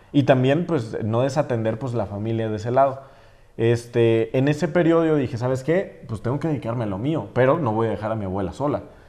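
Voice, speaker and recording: Here is an unremarkable speaking voice with ordinary pitch variation. The pace is fairly quick. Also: man, medium pitch for a man. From Mexico, Jalisco (San Juan de los Lagos). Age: 20s. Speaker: social media influencer. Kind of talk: interview podcast.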